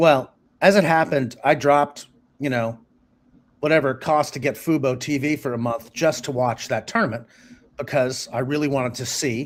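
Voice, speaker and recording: This man has an unremarkable speaking voice with a fairly high pitch, ordinary pitch variation and an American accent. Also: moderate pace, very clean recording, silent background. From US, Massachusetts (Boston). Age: 60s. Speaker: journalist and author. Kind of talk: interview conversation.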